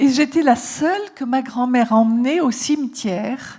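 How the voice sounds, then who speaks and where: A woman is speaking. Her tone is dark and mellow, and somewhat breathy. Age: 70s. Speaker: psychotherapist and author. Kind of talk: talk to an audience. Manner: halting.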